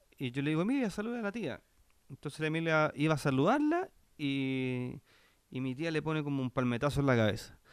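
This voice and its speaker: A man with a Chilean accent, fairly high in pitch, at a fairly quick pace with lively intonation over a quiet background. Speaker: podcast co-host. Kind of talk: casual chat.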